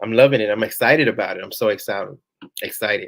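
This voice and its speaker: A man speaks at a very fast pace. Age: 40s. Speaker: YouTuber hosting a live Q&A. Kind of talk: live stream Q&A.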